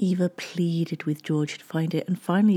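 Somewhat breathy and medium in pitch, a woman talks at a fairly quick pace. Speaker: podcast host and narrator. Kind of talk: true-crime narration. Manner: measured, storytelling, steady.

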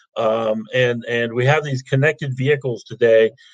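At a fairly slow pace, a somewhat breathy voice speaks in an American accent. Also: man. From Ohio. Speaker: technology executive. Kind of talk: livestream interview. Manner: halting, many fillers.

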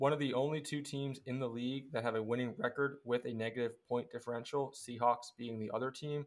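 A medium-pitched man with an American accent, fairly quick pace, monotone, flat intonation and hardly any pauses. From Philadelphia, US East Coast. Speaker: sports podcast host. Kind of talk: casual sports talk.

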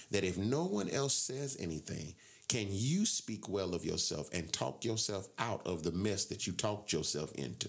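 With an American accent and vocal fry, a man speaks at a moderate pace and a fairly low pitch, his tone animated and energetic and his intonation lively. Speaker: radio host. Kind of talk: casual radio hosting chat. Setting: radio studio. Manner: animated, loud, energetic.

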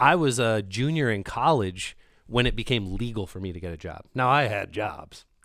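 This man has an ordinary speaking voice at a medium pitch and moderate pace. His intonation is lively, with big swings in loudness. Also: very clean recording, silent background. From Canada. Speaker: podcast co-host. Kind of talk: casual chat.

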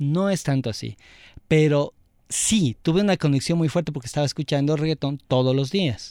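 A man's fairly high-pitched voice with a dark, mellow tone, ordinary pitch variation and a moderate pace, dry and close with no echo, on a very clean recording with a silent background. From Ecuador, Quito. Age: 40s. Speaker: multimedia designer and music enthusiast. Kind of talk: casual chat.

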